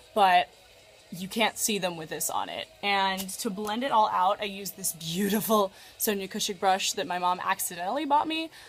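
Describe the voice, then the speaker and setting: Music can be heard behind a woman's voice. Her pitch rises and falls in an ordinary way. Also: medium pitch for a woman, moderate pace. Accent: American. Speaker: makeup vlogger. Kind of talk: casual makeup tutorial. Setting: bedroom at parents' house. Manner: loud; chatty, many fillers.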